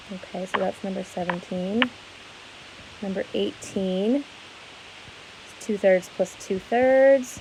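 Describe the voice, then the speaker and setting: Noticeable background noise sits behind a woman speaking at a very slow pace. Her speech has long, frequent pauses. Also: medium pitch for a woman, ordinary pitch variation. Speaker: schoolteacher. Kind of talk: tutorial.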